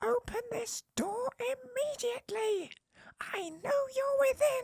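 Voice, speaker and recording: This put-on character voice is extremely high, squeaky and shrill. It moves at a fairly slow pace. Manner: demanding, aggressive.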